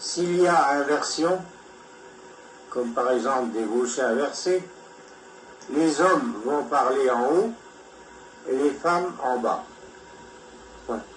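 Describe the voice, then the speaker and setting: Through noticeable background noise, a man with a fairly high pitch and lively intonation speaks at a very slow pace, leaving long, frequent pauses. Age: 80s+. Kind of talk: personal lecture read from notes.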